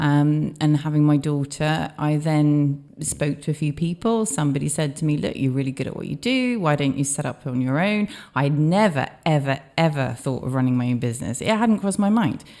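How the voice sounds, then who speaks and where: With a slight Welsh accent, a woman speaks at a moderate pace in a very deep, low pitch, her dark, mellow tone carrying lively intonation on a very clean recording with a silent background. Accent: slight Welsh twang. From Australia. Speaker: business owner. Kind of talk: interview.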